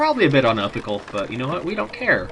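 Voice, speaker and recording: With music playing in the background, a man mumbles at a fairly quick pace. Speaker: let's play commentator. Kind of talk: casual gameplay commentary. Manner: mumbling.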